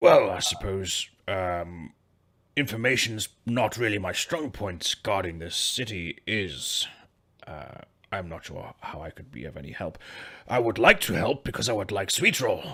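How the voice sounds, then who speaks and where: In a put-on character voice, a man sounds raspy and fairly low with lively intonation, on a very clean recording with a silent background. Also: moderate pace, big swings in loudness. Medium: actual play.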